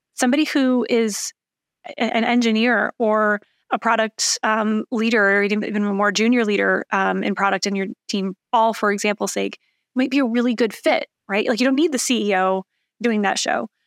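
A woman with a fairly high pitch speaks at a moderate pace with very even loudness and ordinary pitch variation, the sound dry and close with no echo on a very clean recording with a silent background. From Michigan, Lansing. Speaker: tech startup founder and CEO. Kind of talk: podcast interview.

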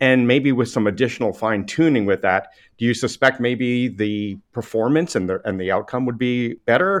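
A man speaks at a moderate pace in an unremarkable speaking voice, with ordinary pitch variation. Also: medium pitch for a man, hardly any pauses. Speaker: podcast host, technology executive. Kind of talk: interview.

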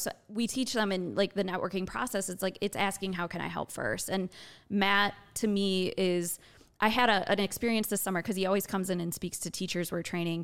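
A woman speaks in a normal speaking voice at medium pitch. Her pace is fairly quick and her intonation fairly even. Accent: American. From Wisconsin, rural farm. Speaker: entrepreneurship educator and founder. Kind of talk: interview.

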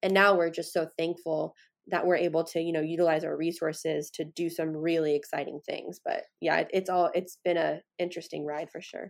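With vocal fry and a fairly low pitch, a woman speaks at a fairly quick pace with hardly any pauses and monotone, flat intonation. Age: 20s. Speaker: company founder and CEO. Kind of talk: interview.

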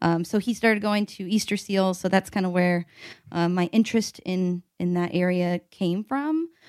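Speaking with a Midwestern American accent, a woman uses a fairly low pitch, fairly even intonation and a moderate pace, captured in a dry, close sound with no echo on a very clean recording with a silent background. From US Midwest (Evansville, Indiana). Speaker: product marketing manager. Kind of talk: casual chat.

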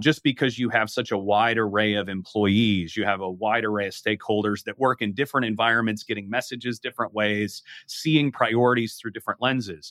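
A man's fairly low pitch with fairly even intonation. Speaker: corporate communications executive. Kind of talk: interview. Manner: formal.

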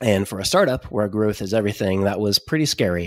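The recording is very clean, with a silent background. A man with an American accent speaks at a fairly low pitch, his intonation fairly even. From Oklahoma. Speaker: startup founder and software engineer. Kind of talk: casual interview chat.

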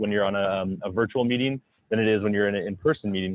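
This man has a plain, everyday voice and an American accent. He talks at a fairly quick pace with a fairly low pitch. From South Florida. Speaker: entrepreneur and investor. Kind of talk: casual interview.

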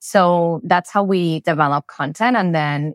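The woman's pitch moves in an ordinary way, and the sound is dry and close with no echo. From Spain. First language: Spanish. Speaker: B2B marketing executive. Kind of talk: casual interview chat.

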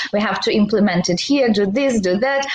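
A woman talks at a fairly high pitch with ordinary pitch variation. Noticeable background noise and audible room echo surround her. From Belarus. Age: 30s. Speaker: e-commerce seller and entrepreneur. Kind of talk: interview. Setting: livestream.

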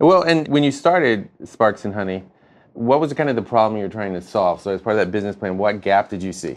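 Speaking very fast, a man uses a fairly low pitch. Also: lively intonation. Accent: American. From North Carolina, US South. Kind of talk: scripted intro narration; interview conversation. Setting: guest's office.

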